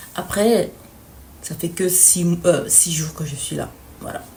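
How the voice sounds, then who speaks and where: In a room with audible echo, a woman speaks in a fairly low, somewhat breathy voice. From Belgium. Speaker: student vlogger. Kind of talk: vlog. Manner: hesitant.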